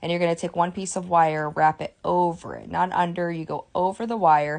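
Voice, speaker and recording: A woman's fairly low, monotone, flat voice at a fairly quick pace, with big swings in loudness and a quiet background. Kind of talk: tutorial. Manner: fast.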